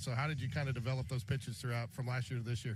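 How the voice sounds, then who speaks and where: At a very fast pace, a man talks in a somewhat breathy, medium-pitched voice with fairly even intonation. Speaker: sports radio broadcaster. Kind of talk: live sports radio play-by-play and interview questions.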